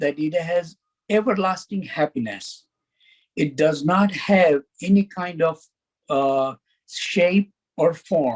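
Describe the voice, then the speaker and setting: A man with a Gujarati accent, high pitch, ordinary pitch variation and very slow pace, in a dry, close sound with no echo. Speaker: faith community speaker. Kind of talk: educational presentation.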